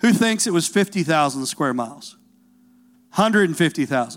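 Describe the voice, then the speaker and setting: Southern US accent on a very clean recording with a silent background. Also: man. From Tennessee. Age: 40s. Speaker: pastor. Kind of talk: sermon. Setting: church. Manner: animated.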